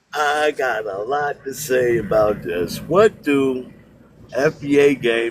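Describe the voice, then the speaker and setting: This is a man speaking. Noticeable background noise runs under his voice. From United States. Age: 60s. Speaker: call-in debate participant. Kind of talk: heated debate. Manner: animated.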